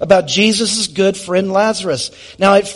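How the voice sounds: The pitch holds fairly even throughout. It is a natural reading voice.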